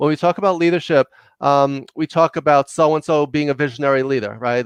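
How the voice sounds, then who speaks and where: A fairly quick delivery with a New York accent. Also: man, dry, close sound with no echo, quiet background. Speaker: leadership consultant and executive coach. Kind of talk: podcast interview. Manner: fast; loud.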